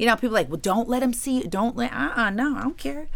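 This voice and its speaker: A woman speaks with an American accent and vocal fry. The recording is very clean, with a silent background. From US Midwest, Ohio. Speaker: attorney and author. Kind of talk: interview.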